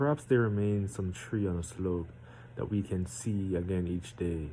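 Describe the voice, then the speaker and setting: This man has a very deep, low voice with a dark, mellow tone and lively intonation. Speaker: amateur poetry reader. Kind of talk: reading aloud; casual chat. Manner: deliberately slowed.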